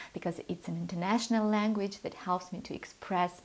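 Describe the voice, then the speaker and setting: A woman with a Russian accent at medium pitch, ordinary pitch variation and a moderate pace. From Moldova. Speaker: piano teacher. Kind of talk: channel introduction talk.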